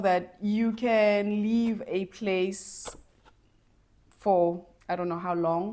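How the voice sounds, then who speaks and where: A woman talks in a dark, mellow tone. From South Africa, Soweto (Johannesburg). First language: Zulu. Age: 40s. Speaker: lifestyle vlogger and dancer. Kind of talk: personal storytelling vlog. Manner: animated, with many repetitions and false starts.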